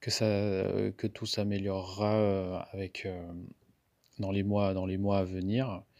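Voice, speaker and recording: Fairly low-pitched man at a fairly slow pace, monotone and flat in intonation, very clean recording with a silent background. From Madagascar. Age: 30s. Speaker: craft beer entrepreneur. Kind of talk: interview. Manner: halting.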